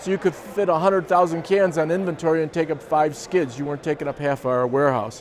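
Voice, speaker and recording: A man's fairly high voice with an American accent and ordinary pitch variation, over noticeable background noise. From US Midwest, Chicago suburbs, Illinois. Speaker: company co-founder. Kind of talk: personal storytelling interview.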